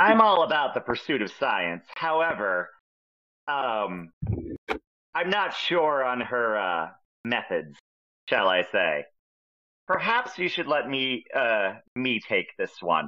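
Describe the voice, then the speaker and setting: Using a put-on character voice, a man speaks fairly slowly at a fairly high pitch, with long, frequent pauses. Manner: pompous, formal.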